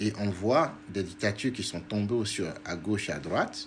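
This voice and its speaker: A man's fairly low, somewhat breathy voice. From Togo. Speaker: diaspora activist and politician. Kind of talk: political livestream talk. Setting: live video stream.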